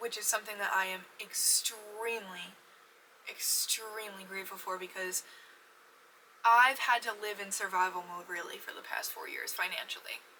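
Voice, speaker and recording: A woman at medium pitch and a moderate pace, her intonation fairly even, with big swings in loudness and noticeable background noise. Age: 20s. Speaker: podcast host. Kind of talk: casual chat. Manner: halting.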